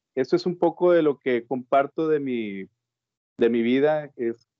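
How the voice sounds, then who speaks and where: Male speaker, a plain, everyday voice, with ordinary pitch variation at a fairly slow pace. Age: 40s. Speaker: freight transport worker. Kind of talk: casual interview.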